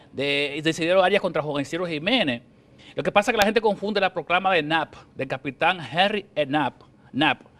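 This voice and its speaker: The man's voice is high-pitched with ordinary pitch variation, heard in a dry, close sound with no echo. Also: fairly quick pace. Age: young. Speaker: journalist and historian author. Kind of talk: TV interview. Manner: fast.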